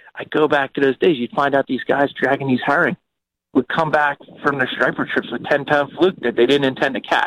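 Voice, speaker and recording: Here a man with a plain, everyday voice talks at a fairly quick pace and a fairly high pitch. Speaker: fishing charter captain. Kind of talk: casual chat.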